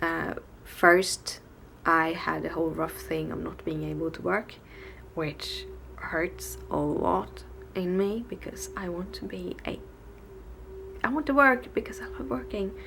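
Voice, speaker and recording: A woman with a Swedish accent speaks at a fairly slow pace with long, frequent pauses over noticeable background noise. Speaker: vlogger. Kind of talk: casual vlog. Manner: halting.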